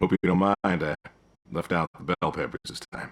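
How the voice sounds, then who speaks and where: A man puts on a character voice pitched very deep and low, delivered at moderate speed. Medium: video game. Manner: terse, dry, laconic.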